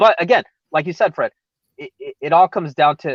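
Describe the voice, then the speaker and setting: Talking at a fairly quick pace, a man with a Californian accent comes through with a dry, close sound and no echo. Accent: recognizably Californian. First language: Spanish. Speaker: MMA podcast co-host. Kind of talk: casual chat. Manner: halting.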